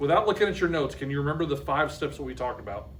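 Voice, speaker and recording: The recording has noticeable background noise and audible room echo. A man speaks in an American accent. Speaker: math teacher. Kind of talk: classroom lesson. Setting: classroom with students. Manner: fast; animated.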